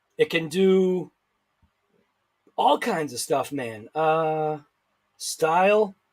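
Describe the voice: A man at a very slow pace, with lively intonation. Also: fairly high pitch for a man.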